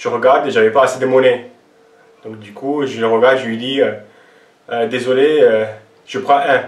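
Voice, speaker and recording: With audible room echo, noticeable background noise and big swings in loudness, a man at medium pitch speaks at a moderate pace in fairly even intonation, with long, frequent pauses. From Lebanon (Armenian-Lebanese). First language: not French (Armenian/Arabic) (speaking French). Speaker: fitness coach and YouTuber.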